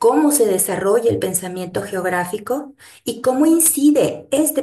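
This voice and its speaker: Her intonation is lively as this woman speaks. Room echo is audible. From Mexico, Guadalajara. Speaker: geography professor, researcher. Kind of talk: lecture.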